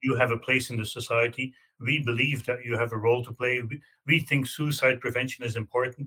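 A man speaks with a Belgian accent. His intonation is monotone and flat. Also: medium pitch for a man, fairly quick pace. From Belgium. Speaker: law professor. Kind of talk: interview.

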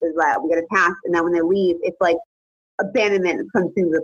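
A woman with an American accent at a very fast pace, medium pitch, music in the background, dry, close sound with no echo. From Connecticut, US. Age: 20s. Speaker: interviewee sharing personal story. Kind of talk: casual interview.

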